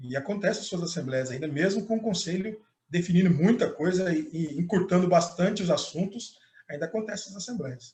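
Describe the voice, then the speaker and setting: A man's high-pitched voice with a dark, mellow tone, ordinary pitch variation and a fairly quick pace. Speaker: pastor and lecturer. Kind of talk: panel Q&A discussion. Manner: fast; hesitant, repeats words.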